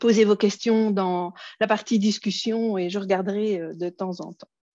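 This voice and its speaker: Speaking at a fairly slow pace with a Belgian accent, a woman has a medium pitch, recorded dry and close with no echo over a quiet background. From Belgium. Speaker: educational technology trainer. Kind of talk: conference workshop presentation. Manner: hesitant, many fillers.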